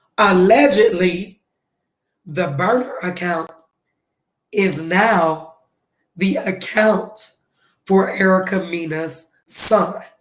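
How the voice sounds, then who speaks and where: A woman talks at a very slow pace with long, frequent pauses, and the room echo is audible. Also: medium pitch for a woman, ordinary pitch variation. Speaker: celebrity gossip livestreamer. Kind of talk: casual livestream chat. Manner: soft-spoken.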